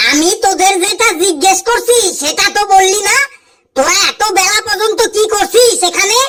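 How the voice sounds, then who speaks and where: A cartoonish character voice at an extremely high pitch, delivered at a moderate pace. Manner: bossy, teasing.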